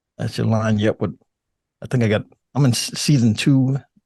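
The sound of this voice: A man talks at a fairly quick pace with a fairly low pitch and vocal fry. His tone is dark and mellow, and his intonation stays fairly even.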